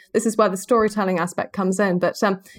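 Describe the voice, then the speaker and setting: Very fast in pace, a woman with a British accent talks on a very clean recording with a silent background. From Spain (born in Macclesfield, England). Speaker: wildlife filmmaker. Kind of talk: casual interview chat.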